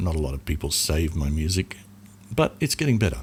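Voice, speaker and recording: The speaker is a man with a somewhat breathy voice. He talks fairly quickly. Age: 60s. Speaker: musician and podcaster. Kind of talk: casual advice talk. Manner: casual, hesitant with fillers.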